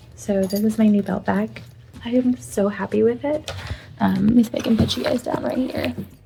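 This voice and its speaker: Noticeable background noise runs through the clip. A woman speaks over it at a fairly quick pace. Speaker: crafting vlogger and small business owner. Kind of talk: casual vlog. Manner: casual, filler-heavy.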